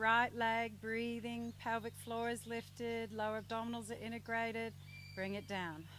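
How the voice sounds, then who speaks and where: A woman with a normal speaking voice, medium pitch and a moderate pace. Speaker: yoga teacher. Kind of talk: yoga class instruction.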